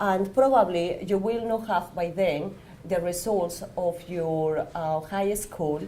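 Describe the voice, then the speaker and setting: Spoken very slowly with a Spanish accent and ordinary pitch variation, the clip carries audible room echo and noticeable background noise. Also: woman, fairly low pitch for a woman. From Spain. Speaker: university staff member. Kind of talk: presentation. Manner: halting.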